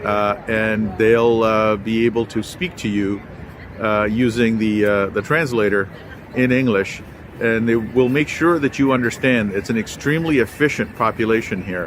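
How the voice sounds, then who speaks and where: Over noticeable background noise, a man speaks at a medium pitch and moderate pace with ordinary pitch variation. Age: 60s. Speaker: travel vlogger. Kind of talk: travel vlog narration. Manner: hesitant, many filler words.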